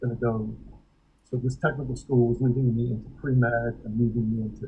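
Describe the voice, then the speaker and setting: The speaker has an American accent and talks at a moderate pace. The intonation stays monotone and flat. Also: man. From New York, Brooklyn. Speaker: voice teacher. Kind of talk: casual interview. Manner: halting, many fillers.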